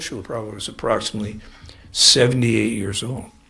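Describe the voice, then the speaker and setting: A man's voice, bright and sharp in tone, carries audible room echo. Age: 70s. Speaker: spiritual teacher. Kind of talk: lecture. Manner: halting.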